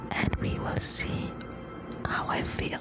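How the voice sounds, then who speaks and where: Whispered words come at a fairly slow pace. Noticeable background noise sits behind them. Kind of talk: ASMR whisper video. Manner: whispered, slow.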